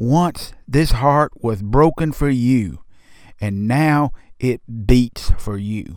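With a Southern US accent, a man speaks very slowly at a medium pitch, his intonation moving with ordinary variation. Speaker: pastor. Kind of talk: devotional guided meditation, second-person invitation to rest in Jesus' presence. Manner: slow, soothing cadence with hushed repeated refrain; gentle, tender, pastoral reassurance.

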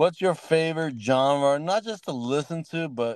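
A man's voice, very cleanly recorded over total background silence. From Palestinian heritage. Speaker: podcast host and DJ. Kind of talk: casual chat.

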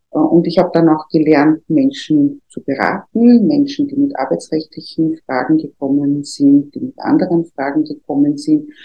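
Moderately paced speech from a woman, hardly any pauses throughout. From Austria, Vienna. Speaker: trade union official. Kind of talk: interview. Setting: studio.

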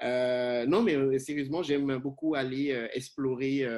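A man with an ordinary speaking voice talks at a medium pitch and a fairly slow pace, with fairly even intonation on a very clean recording with a silent background. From Benin, Cotonou. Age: 30s. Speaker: communication professor and researcher. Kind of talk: interview.

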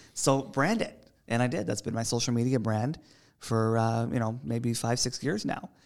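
In a Canadian accent, a man with a plain, everyday voice talks at a moderate pace and a medium pitch, with ordinary pitch variation. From Toronto, Canada. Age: 20s. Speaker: TV co-host. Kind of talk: casual chat.

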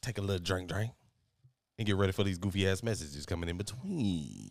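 An animated man's voice at a fairly low pitch. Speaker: podcast host. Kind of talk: casual chat.

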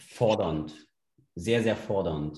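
A man talks at a very slow pace. His dark, mellow tone is somewhat breathy. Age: 30s. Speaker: sports league founder and CrossFit gym owner. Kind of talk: casual interview.

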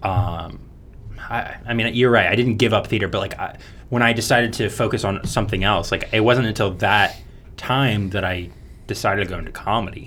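Fairly quick speech from a man with fairly even intonation and audible room echo. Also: fairly low pitch for a man. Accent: American. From US, Florida (Orlando). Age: 20s. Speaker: mechanical engineering graduate. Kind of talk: casual chat.

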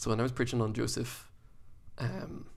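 Talking at a very fast pace, a man speaks in an Irish accent. Audible room echo surrounds his voice. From Ireland. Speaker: youth pastor. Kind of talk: casual chat. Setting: studio.

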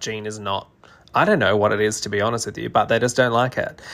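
A voice with an Australian accent in a very clean recording with a silent background. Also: man. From Australia, New South Wales. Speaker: interior designer and podcast host. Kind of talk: solo podcast talk.

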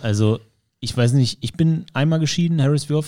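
A man speaks in a dark, mellow tone with lively intonation. The recording is very clean, with a silent background. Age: 30s. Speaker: podcast host, self-employed studio owner. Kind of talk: casual chat. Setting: studio.

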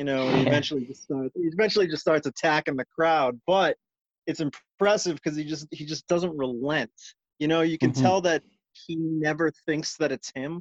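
Fairly high-pitched, a man talks at a fairly quick pace with ordinary pitch variation. The sound is dry and close, with no echo. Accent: American. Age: 40s. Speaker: punk musician. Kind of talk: casual chat. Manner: animated.

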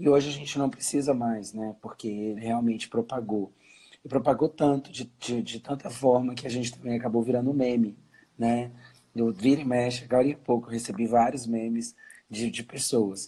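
The man's tone is dark and mellow, at a medium pitch. He keeps a moderate pace with fairly even intonation. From Brazil, Brasília. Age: 40s. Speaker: life coach. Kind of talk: interview.

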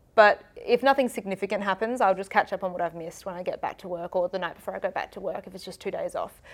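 With an Australian accent and hardly any pauses, a woman of medium pitch talks very fast with ordinary pitch variation and big swings in loudness, on a very clean recording with a silent background. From South Australia, Adelaide. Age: 20s. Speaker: TV journalist. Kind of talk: casual interview.

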